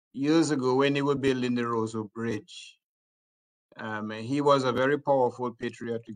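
A man's monotone, flat delivery at a moderate pace against a quiet background. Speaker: judge and commentator; judge, commentator. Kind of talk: radio panel discussion. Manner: halting, many fillers. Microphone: video call.

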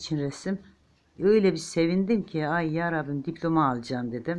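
Speaking at a fairly slow pace with lively intonation, a woman has a normal speaking voice. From eastern Turkey, Ağrı. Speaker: home crafter, knitting tutorial maker. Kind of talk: tutorial with chatty asides. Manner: chatty, warm, informal.

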